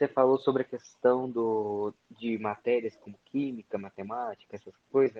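An unremarkable speaking voice moves at a moderate pace with hardly any pauses and big swings in loudness. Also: man, medium pitch for a man, fairly even intonation. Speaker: live stream participant. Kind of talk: casual chat. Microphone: voice too quiet.

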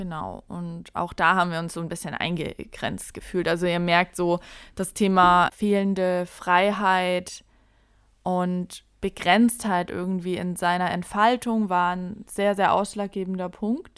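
On a very clean recording with a silent background, a woman speaks at a very slow pace. Her medium-pitched voice stays monotone and flat. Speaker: podcast host. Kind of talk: casual chat.

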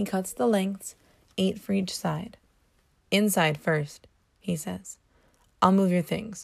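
At a very slow pace with long, frequent pauses, a woman of medium pitch sounds somewhat breathy, with ordinary pitch variation. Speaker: podcast host. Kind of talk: reading aloud.

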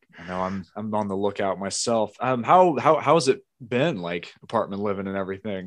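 Over a quiet background, a man with a normal speaking voice talks at a moderate pace, his pitch fairly low with ordinary pitch variation. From US South, southeastern Virginia. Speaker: YouTube gamer. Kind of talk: casual chat. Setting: video call.

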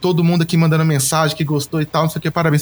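A man is speaking. His pitch sits fairly high. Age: 30s. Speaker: musician and graphic designer. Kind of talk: casual interview. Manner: animated.

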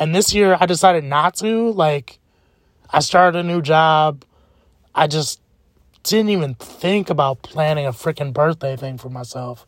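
At a moderate pace, a man with a fairly high pitch speaks in an animated tone with ordinary pitch variation, the sound dry and close with no echo on a very clean recording with a silent background. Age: 20s. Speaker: podcaster. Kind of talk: casual monologue.

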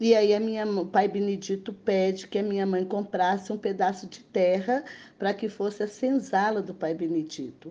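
A woman's medium-pitched voice, fairly even in intonation, at a moderate pace against a quiet background. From Belo Horizonte, Minas Gerais, Brazil. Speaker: quilombo community leader. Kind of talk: interview testimony. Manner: halting, many fillers.

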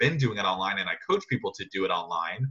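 Talking very fast, a man uses a medium pitch, a bright, sharp tone and ordinary pitch variation. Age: young. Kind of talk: interview. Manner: animated.

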